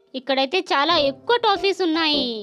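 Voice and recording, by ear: A fast, bright, sharp voice with ordinary pitch variation, over faint background music.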